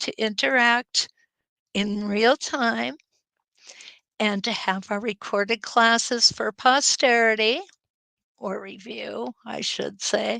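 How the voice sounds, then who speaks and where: Recorded very cleanly with a silent background and a dry, close sound with no echo, a woman with an Upper Midwest accent speaks at a very slow pace. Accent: Canadian-sounding Upper Midwest. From Upper Peninsula of Michigan, US. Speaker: quilting teacher. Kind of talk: live-stream chat reading viewer comments.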